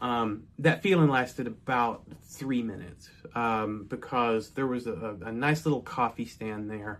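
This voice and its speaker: Speaking with an American accent, a man talks at a fairly slow pace with hardly any pauses, a medium pitch, and ordinary pitch variation. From North Texas. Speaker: storyteller. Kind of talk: personal storytelling. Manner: casual with fillers.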